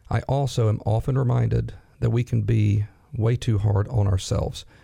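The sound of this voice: A man speaks at a moderate pace in a fairly low pitch. His tone is dark and mellow, raspy, with vocal fry. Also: fairly even intonation.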